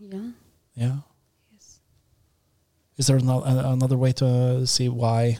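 A man with a Norwegian accent speaks at a fairly slow pace, his medium-pitched voice somewhat breathy. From Norway. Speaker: university professor and podcast host. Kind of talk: casual discussion. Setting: studio. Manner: halting.

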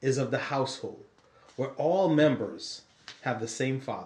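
A man talks at a moderate pace, his medium-pitched voice somewhat breathy. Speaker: podcast co-host. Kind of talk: casual podcast Bible discussion.

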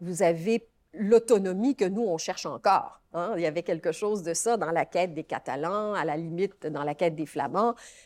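Ordinary pitch variation at a moderate pace, captured in a very clean recording against a silent background. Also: woman, fairly low pitch for a woman. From Quebec. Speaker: law professor. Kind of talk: interview. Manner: halting.

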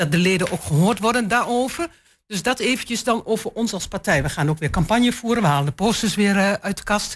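Somewhat breathy, medium-pitched woman's voice with lively intonation at a fairly quick pace, on a very clean recording with a silent background. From eastern Netherlands, Twente. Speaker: local councillor. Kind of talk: panel discussion.

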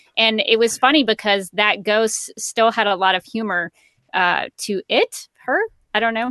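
With an American accent, a woman speaks at a fairly slow pace in a fairly high, bright, sharp tone, recorded dry and close with no echo. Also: ordinary pitch variation. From Alabama, US South. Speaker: voice actor, former TV news worker. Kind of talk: casual chat.

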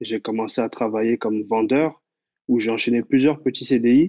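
Using a plain, everyday voice, this speaker shows ordinary pitch variation. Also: man. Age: 20s. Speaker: web developer. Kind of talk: interview.

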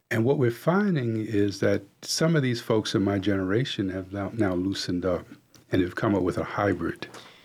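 With an American accent, a man speaks in a normal speaking voice at a fairly low pitch and a moderate pace, with ordinary pitch variation, on a very clean recording with a silent background. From US Northeast, New York City. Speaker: executive coach. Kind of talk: radio interview. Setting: radio studio.

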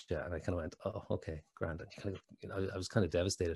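With an Irish accent and a very deep, low pitch, a man speaks in a somewhat breathy voice with fairly even intonation on a very clean recording with a silent background. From Ireland. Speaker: actor and lymphoma survivor. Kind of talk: casual interview chat. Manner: hesitant, repeats words.

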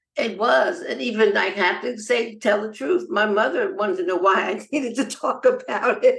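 A woman with an American accent speaks at a moderate pace with hardly any pauses, her fairly high voice making very wide pitch swings over noticeable background noise. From US, Los Angeles. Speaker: nonprofit founder and cancer survivor. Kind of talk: interview.

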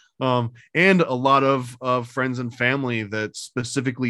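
The man's voice has a bright, sharp tone. The background is quiet. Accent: upstate New York. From US, upstate New York. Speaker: comic book creator. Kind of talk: casual chat.

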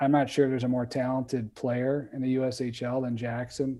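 A man's dark, mellow tone at medium pitch, in an American accent, fairly slow, with monotone, flat intonation, on a very clean recording with a silent background. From Wisconsin. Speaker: hockey player development director. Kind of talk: casual interview.

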